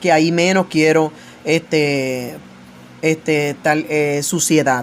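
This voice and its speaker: A woman's very deep, low voice at a very slow pace with fairly even intonation. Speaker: evangelical preacher. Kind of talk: religious commentary monologue. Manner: loud; authoritative.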